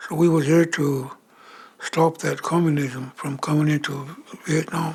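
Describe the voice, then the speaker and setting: With a western US accent, a man speaks slowly-ish at a fairly high pitch in a monotone, flat intonation. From Wind River Reservation, Wyoming (Shoshone). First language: Shoshone. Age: 70s. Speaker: war veteran. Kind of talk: documentary interview.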